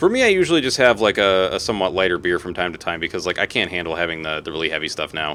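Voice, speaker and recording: With music playing behind him, a man speaks very fast in a very deep, low voice. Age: 30s. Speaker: gaming streamer. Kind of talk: live gameplay stream chatting with viewers. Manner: casual, rambling with fillers.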